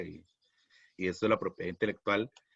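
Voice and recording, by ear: A man speaks at a fairly low pitch with vocal fry. There is a slightly husky edge to his voice.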